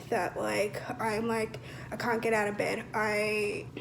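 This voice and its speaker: A woman speaks with an Australian accent. The recording has noticeable background noise and audible room echo. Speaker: vlogger. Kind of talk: casual chat. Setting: home kitchen. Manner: loud.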